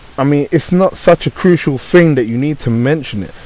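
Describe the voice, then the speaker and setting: At a moderate pace, a man with a British accent speaks in a fairly high voice. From Britain. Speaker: YouTuber. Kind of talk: unscripted rant to camera.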